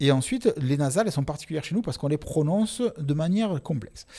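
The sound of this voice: Very fast, somewhat breathy male speech with a dark, mellow tone and very wide pitch swings.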